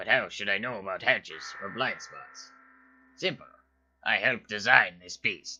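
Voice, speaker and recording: Using a cartoonish character voice, a man with a fairly low pitch speaks with long, frequent pauses. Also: moderate pace. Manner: dry, sardonic.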